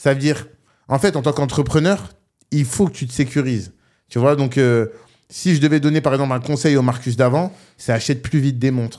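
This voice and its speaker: Against a quiet background, a man talks at a fairly quick pace with ordinary pitch variation, leaving long, frequent pauses. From northern France, Roubaix; France. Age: 20s. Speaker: online entrepreneur; podcast guest. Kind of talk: casual interview. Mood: calm, reflective advice. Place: studio. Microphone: studio mic.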